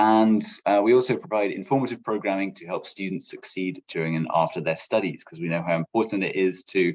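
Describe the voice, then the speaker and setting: A man's fairly low voice at a fairly quick pace, with ordinary pitch variation, big swings in loudness and hardly any pauses. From England. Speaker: program manager, former international student advisor. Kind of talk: panel presentation.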